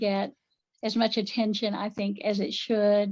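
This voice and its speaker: A woman speaks with an American accent at a fairly high pitch. She keeps a fairly slow pace. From western North Carolina, Appalachia (Buncombe County). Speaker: pagan priestess, folklorist and writer. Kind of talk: podcast interview.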